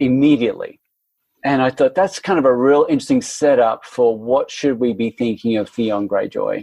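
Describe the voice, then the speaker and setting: A man speaks with an Australian accent in a dark, mellow tone. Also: medium pitch for a man, ordinary pitch variation, moderate pace. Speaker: literary theory academic. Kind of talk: casual interview chat.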